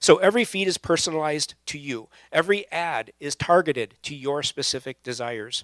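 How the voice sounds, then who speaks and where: A man talks at a moderate pace in an ordinary speaking voice, his pitch varying in an ordinary way. The recording is very clean with a silent background, and the sound is dry and close with no echo. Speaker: pastor. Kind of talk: sermon to a young adult audience. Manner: casual, conversational.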